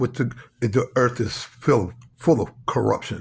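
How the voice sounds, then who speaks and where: A man with an American accent speaks at medium pitch in a somewhat breathy voice. He keeps a fairly slow pace and fairly even intonation. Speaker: religious speaker. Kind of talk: religious monologue. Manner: halting.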